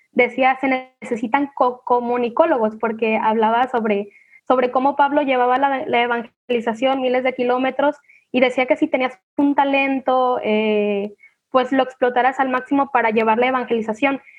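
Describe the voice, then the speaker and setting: At a moderate pace, a woman speaks in a high pitch with monotone, flat intonation. Her loudness stays very even. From Mexico, Manzanillo, Colima. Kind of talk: casual virtual panel chat. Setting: video call.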